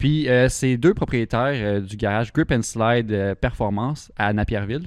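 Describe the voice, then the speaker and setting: A man speaks with a Quebec accent at medium pitch. His pace is moderate. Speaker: car podcast host. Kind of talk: casual chat.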